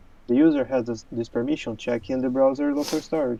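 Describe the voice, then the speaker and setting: With fairly even intonation, this man's voice sits at a medium pitch. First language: not English. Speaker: software developer co-host. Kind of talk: technical discussion. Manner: halting, many fillers and repeats.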